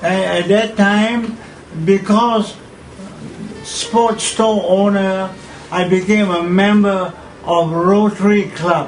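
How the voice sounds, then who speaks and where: Amid noticeable background noise and audible room echo, a man with a high pitch speaks in a monotone, flat way at a very slow pace, with long, frequent pauses. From Malaysia. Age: 80s+. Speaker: pageant figure. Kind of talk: interview. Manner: halting.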